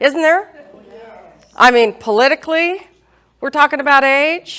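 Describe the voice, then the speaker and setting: A woman speaks loudly at a moderate pace. Her intonation is lively. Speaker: real estate agent hosting senior seminar. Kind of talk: seminar presentation.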